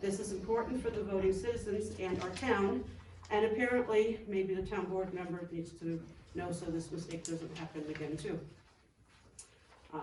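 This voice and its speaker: A woman at a medium pitch with ordinary pitch variation and a fairly quick pace, amid noticeable background noise and audible room echo. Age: 60s. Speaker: resident giving public comment. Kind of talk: public comment at town board meeting. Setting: town board meeting room.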